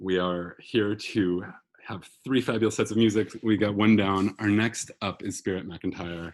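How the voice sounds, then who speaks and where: Fairly low in pitch, a man talks at a fairly slow pace with a monotone, flat intonation. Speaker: house concert host. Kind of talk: online concert hosting. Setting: video call. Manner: frequent ums.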